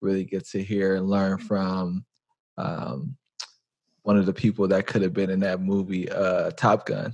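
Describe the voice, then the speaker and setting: This man has a plain, everyday voice, pitched fairly low. He keeps a moderate pace and fairly even intonation. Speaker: podcast host. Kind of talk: podcast intro.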